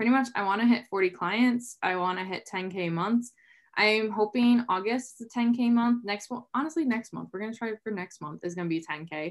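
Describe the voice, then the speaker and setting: A woman's normal speaking voice, fairly high in pitch, with lively intonation and big swings in loudness, on a very clean recording with a silent background. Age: 20s. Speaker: online fitness coach, former engineer. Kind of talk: interview. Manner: casual, filler-heavy.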